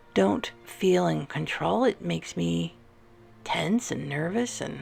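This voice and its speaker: A soft-spoken woman talks at a very slow pace in a calm, soothing tone, leaving long, frequent pauses. Music plays in the background. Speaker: artist and ASMR creator. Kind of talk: ASMR coloring session, casual talk to camera. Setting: art studio with classical music in the background. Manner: soft-spoken, calm, soothing.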